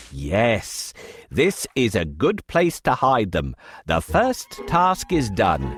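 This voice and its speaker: A cartoonish character voice with a low pitch moves at a very slow pace as faint music plays in the background. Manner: persuasive, theatrical.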